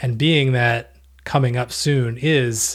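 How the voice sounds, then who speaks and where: A man's somewhat breathy, medium-pitched voice with an American accent, on a very clean recording with a silent background. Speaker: podcast co-host. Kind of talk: casual chat.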